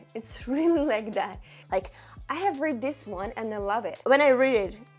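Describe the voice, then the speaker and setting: With music in the background, the speaker talks at a moderate pace with lively intonation. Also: woman, high pitch for a woman. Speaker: book vlogger. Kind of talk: casual vlog monologue. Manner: hesitant, with fillers and restarts.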